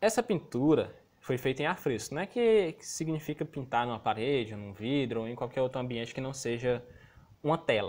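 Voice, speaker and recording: This man talks with lively intonation and big swings in loudness. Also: medium pitch for a man. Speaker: school teacher. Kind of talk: remote lesson. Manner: fast.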